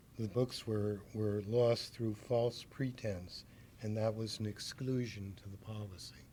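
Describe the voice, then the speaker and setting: Soft-spoken and somewhat breathy, a man talks at a fairly slow pace in a fairly low pitch with a dark, mellow tone and monotone, flat intonation. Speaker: bookstore owner. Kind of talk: interview answer.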